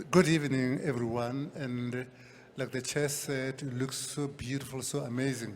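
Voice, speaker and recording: In a room with audible echo, a man speaks at a fairly slow pace in a medium pitch with monotone, flat intonation. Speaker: board deputy chair, award presenter. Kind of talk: award presentation speech. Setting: stage with audience.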